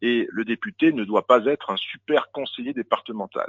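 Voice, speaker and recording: With a normal speaking voice, a man talks at medium pitch and a moderate pace, his pitch varying in an ordinary way. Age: 60s. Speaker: politician. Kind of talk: radio interview.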